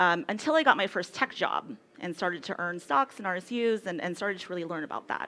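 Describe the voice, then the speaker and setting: A woman with an American accent speaks at medium pitch and a moderate pace, her intonation lively. Her tone is bright and sharp, on a very clean recording with a silent background. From California, US. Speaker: tech company CEO. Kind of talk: conference talk.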